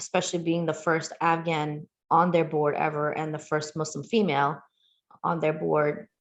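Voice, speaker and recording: A woman's fairly low, monotone voice with flat intonation at a moderate pace. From Queens, New York City. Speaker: community outreach director. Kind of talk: interview.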